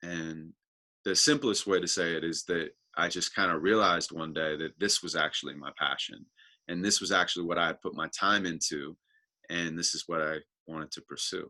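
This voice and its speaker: Over a quiet background, a man talks at a fairly quick pace with a very deep, low pitch and fairly even intonation. His tone is bright and sharp, and the sound is dry and close with no echo. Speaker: spoken word poet. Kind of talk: interview answer. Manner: casual, reflective.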